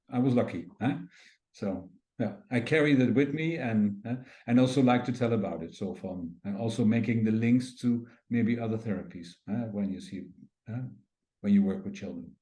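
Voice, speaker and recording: Over audible room echo, a man with a dark, mellow tone and medium pitch speaks at a moderate pace with lively intonation, big swings in loudness, and long, frequent pauses. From Netherlands. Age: 60s. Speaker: craniosacral therapy teacher and physiotherapist. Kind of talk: interview. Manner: halting.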